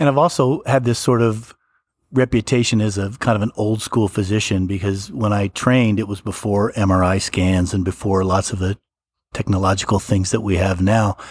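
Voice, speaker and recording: With a plain, everyday voice, a man speaks at a moderate pace with fairly even intonation. His pitch is fairly low, on a very clean recording with a silent background. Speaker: hospital physician. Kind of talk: interview testimony.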